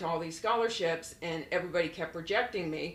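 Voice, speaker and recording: A woman with an American accent speaks in a fairly low pitch and fairly even intonation. The recording has audible room echo and noticeable background noise. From Florida, US. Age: 60s. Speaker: model and modeling agency owner. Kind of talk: podcast interview, life story.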